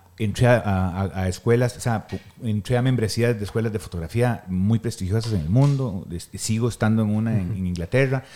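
Speaking at a fairly quick pace with a Costa Rican accent, a man has a medium pitch, a dark, mellow tone and ordinary pitch variation. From Costa Rica, Guanacaste. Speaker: photographer and weightlifting coach. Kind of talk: casual chat.

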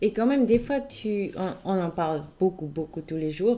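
A woman in a Swiss German accent, medium in pitch, with a dark, mellow tone, a fairly slow pace and ordinary pitch variation. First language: Swiss German (speaking French). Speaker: podcast host. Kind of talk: casual chat.

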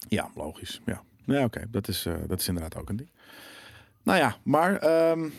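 A man at medium pitch with very wide pitch swings, a moderate pace, and long, frequent pauses. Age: 30s. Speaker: gaming show host. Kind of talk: casual chat.

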